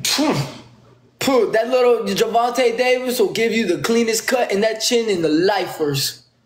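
A man speaks at an extremely high pitch in an animated tone and a fairly slow pace. Room echo is audible, and the background is quiet. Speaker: live streamer. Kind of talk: trash-talk live stream battle. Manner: animated, taunting. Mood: confrontational, taunting. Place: home room. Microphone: phone near.

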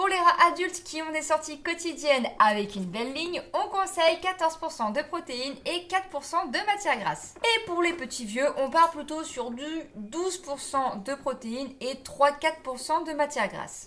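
In a raised, projected voice, a woman speaks at a very slow pace with lively intonation. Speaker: pet care vlogger. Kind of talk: tutorial. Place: home room.

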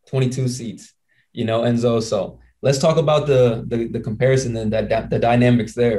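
This man's tone is dark, mellow and somewhat breathy. He talks at a moderate pace with monotone, flat intonation over a quiet background. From Indiana. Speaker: podcast host and basketball player; podcast host. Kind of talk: casual chat. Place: home room. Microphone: handheld.

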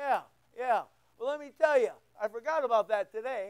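Against a quiet background, a man speaks with lively intonation. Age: 60s. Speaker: pastor. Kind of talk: sermon. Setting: church. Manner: informal, joking. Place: church.

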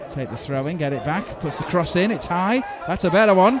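A man speaks at a fairly quick pace in an animated tone, his pitch swinging very widely. The sound is dry with no echo, and background noise is noticeable. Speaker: football commentator. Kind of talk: live football commentary. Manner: fast, animated play-by-play, rising excitement at chances.

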